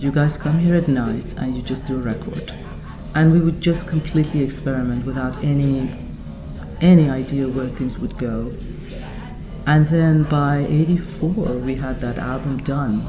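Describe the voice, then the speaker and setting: Audible room echo and background music surround a woman speaking at a moderate pace. She has a Persian accent, a very deep, low pitch, and fairly even intonation. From Iran. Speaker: composer and vocalist. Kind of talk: interview.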